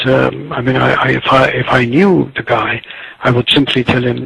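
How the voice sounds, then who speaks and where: A man with an Azerbaijani accent speaks at a fairly slow pace over noticeable background noise. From Tabriz, Iranian Azerbaijan. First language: Azerbaijani Turkish. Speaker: writer and literary critic. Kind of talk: interview answer.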